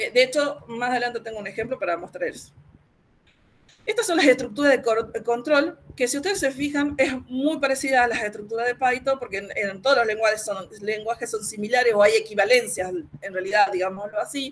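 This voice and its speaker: A woman speaks at a fairly quick pace. Her high voice carries lively intonation. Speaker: university lecturer. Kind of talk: lecture. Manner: fast; halting.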